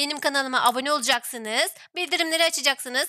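An animated woman's raised, projected voice with a bright, sharp tone, ordinary pitch variation and a fairly quick pace, in a dry, close sound with no echo. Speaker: gaming YouTuber. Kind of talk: casual let's-play chat; channel intro and outro. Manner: animated, laughing.

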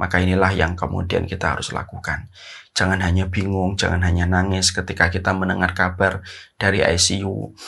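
Speaking at a fairly quick pace, a man with a very deep, low voice and a bright, sharp tone keeps his intonation monotone and flat. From Indonesia. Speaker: Islamic preacher; religious teacher. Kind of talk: religious lecture. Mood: earnest, calm, gentle. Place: home room. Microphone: lapel.

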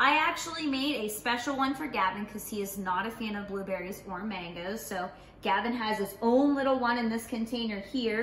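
With audible room echo, the fairly bright voice moves at a fairly quick pace with few pauses. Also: woman.

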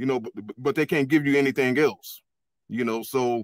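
A man's fairly high voice with ordinary pitch variation, a dry sound with no echo and a quiet background. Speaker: caller. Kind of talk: casual chat. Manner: frequent fillers like you know. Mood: dismissive, critical of others. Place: home room. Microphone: webcam.

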